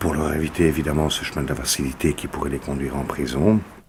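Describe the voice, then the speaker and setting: There is noticeable background noise. Through it, a man speaks with a very deep, low pitch. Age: 40s. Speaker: former prisoner and educator. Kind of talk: testimony. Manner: halting.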